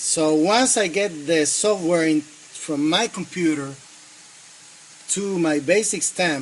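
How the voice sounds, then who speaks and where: A man with a Spanish accent talks at a high pitch and a very slow pace, with ordinary pitch variation. His loudness stays very even against noticeable background noise. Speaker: engineering student. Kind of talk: project demonstration. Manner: halting, many fillers.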